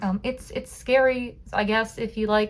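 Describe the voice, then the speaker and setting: A woman speaks in an American accent with monotone, flat intonation. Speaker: haunt actor and vlogger. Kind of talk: casual vlog narration. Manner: fast.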